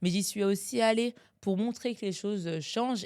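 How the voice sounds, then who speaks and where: In an animated tone, a woman with a medium pitch talks at a fairly quick pace. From France, Strasbourg (Alsace). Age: 30s. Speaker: lawyer and lecturer. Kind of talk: podcast interview. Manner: fast.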